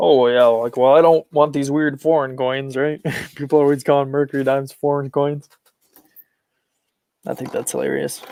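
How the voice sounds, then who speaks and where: With an American accent, a man talks at a moderate pace in a dark, mellow tone, using a fairly high pitch, monotone, flat intonation and long, frequent pauses. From Michigan. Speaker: coin hobby streamer. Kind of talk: casual live stream commentary. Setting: live stream on laptop. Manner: casual, chatty with fillers.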